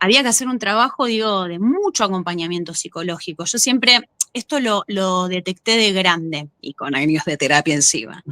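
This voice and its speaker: A woman with a Rioplatense accent, bright and sharp in tone, with lively intonation, a moderate pace and hardly any pauses, in a dry, close sound with no echo. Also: medium pitch for a woman. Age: 30s. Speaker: actress and former gymnast. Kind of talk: interview. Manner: halting.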